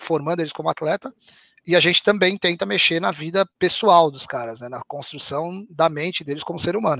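A man's high, bright, sharp voice with lively intonation and big swings in loudness, in a dry, close sound with no echo. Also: fairly quick pace. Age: 40s. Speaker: professional poker player and esports founder. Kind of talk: casual interview chat.

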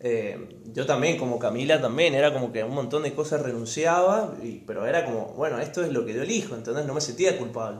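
A man's fairly high-pitched voice at a fairly quick pace with lively intonation, amid audible room echo and noticeable background noise. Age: 20s. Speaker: lawyer, former hockey player. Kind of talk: casual chat.

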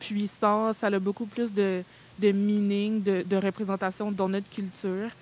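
The speaker is a woman with a medium pitch. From Quebec, Montreal. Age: 20s. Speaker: content creator and podcast host. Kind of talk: casual discussion with students.

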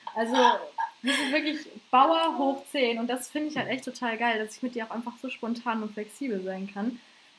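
Here a woman speaks at a high pitch. She keeps a moderate pace and ordinary pitch variation. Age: 20s. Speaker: podcast co-host and stand-up comedian. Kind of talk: casual chat.

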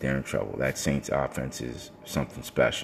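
A voice with an American accent speaks fairly quickly in an animated tone. Noticeable background noise can be heard. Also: man. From New York City (Brooklyn). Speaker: sports radio host. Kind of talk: solo sports talk show.

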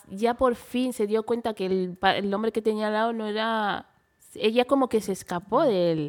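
Ordinary pitch variation and a moderate pace mark a plain, everyday voice. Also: woman, fairly high pitch for a woman. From Spain and Equatorial Guinea. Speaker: model. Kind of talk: interview.

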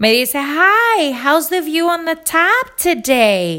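With a bright, sharp tone, a woman speaks in a raised, projected voice with very wide pitch swings. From Puerto Rico, Rincón. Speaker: podcaster. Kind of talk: casual monologue, personal anecdotes.

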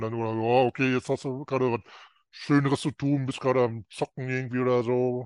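A man at a fairly quick pace, medium-pitched, with fairly even intonation and a plain, everyday voice. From North Rhine-Westphalia, Germany. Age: 50s. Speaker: coaching client. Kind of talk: interview.

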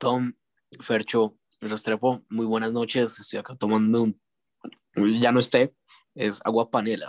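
A man speaks at a fairly slow pace in a monotone, flat intonation, with long, frequent pauses. The sound is dry and close, with no echo. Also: medium pitch for a man. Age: 20s. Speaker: podcast guest. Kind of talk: casual chat.

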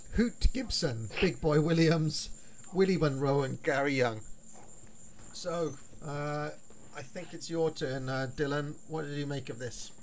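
A man's fairly high voice with a British accent at a fairly slow pace, with long, frequent pauses, ordinary pitch variation, big swings in loudness and audible room echo. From United Kingdom. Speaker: wrestling history podcaster. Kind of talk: casual chat.

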